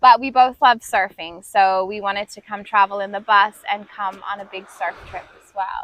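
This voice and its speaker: In an American accent with a bright, sharp tone, the speaker keeps a moderate pace with hardly any pauses, fairly even intonation and big swings in loudness. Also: woman, medium pitch for a woman. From US, small town. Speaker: travel vlogger and Pilates instructor. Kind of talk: casual chat. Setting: outdoors at a beach.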